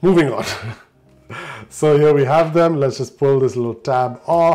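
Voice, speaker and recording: Over music in the background, a man speaks at a fairly slow pace with a fairly high pitch. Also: fairly even intonation. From Indian raised in Dubai. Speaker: tech reviewer. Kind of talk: unboxing video. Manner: casual, chatty. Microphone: poor audio from mic issue.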